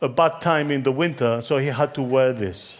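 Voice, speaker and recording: A man with a Spanish accent at a fairly slow pace, ordinary pitch variation, in a very clean recording with a silent background. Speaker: conference keynote speaker on branding. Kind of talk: conference talk.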